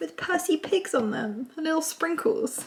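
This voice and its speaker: A woman with a southern English accent, over noticeable background noise. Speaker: lifestyle vlogger. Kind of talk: vlog, casual chat to camera. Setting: at home, during building work. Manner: chatty, filler-heavy.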